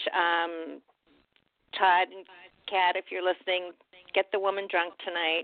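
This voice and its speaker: A woman speaks at a moderate pace with a medium pitch and flat, monotone intonation. Her loudness swings widely, and she leaves long, frequent pauses. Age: 60s. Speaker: fan guest. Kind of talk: casual interview chat.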